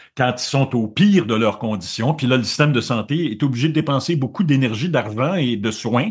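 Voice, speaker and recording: In an animated tone and a Quebec accent, a man talks at a fairly quick pace, somewhat breathy, with lively intonation. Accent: Québécois French. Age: 70s. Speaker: journalist. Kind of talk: interview conversation. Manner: animated, with frequent repetitions and hesitations.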